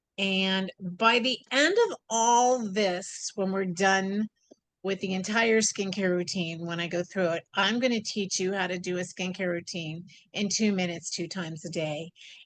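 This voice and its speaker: This woman's voice sits at a medium pitch. Her intonation is fairly even. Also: fairly slow pace. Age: 60s. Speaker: skincare specialist. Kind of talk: webinar talk. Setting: video call. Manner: halting.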